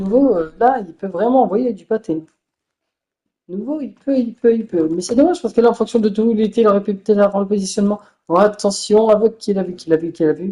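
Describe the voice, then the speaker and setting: At a fairly quick pace, a woman talks with a dark, mellow tone and medium pitch. Her pitch variation is ordinary, while her loudness swings widely. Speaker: gaming commentator. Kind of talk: live commentary. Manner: animated.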